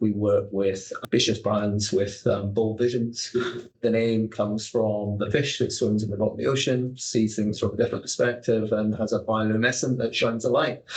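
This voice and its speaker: Speaking with a Scottish accent, a man with a somewhat breathy, medium-pitched voice keeps fairly even intonation, very even loudness and a moderate pace. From Scotland. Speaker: business consultant, managing director. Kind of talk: podcast interview.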